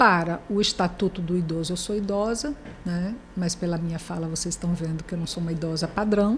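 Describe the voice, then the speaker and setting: This woman's voice is somewhat breathy and fairly low-pitched. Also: ordinary pitch variation, fairly quick pace. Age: 60s. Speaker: journalist, professor and writer. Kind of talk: interview conversation.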